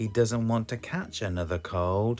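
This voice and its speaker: The speaker has a British accent. Music plays in the background. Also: man. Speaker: children's story reader. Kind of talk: children's picture book read-aloud.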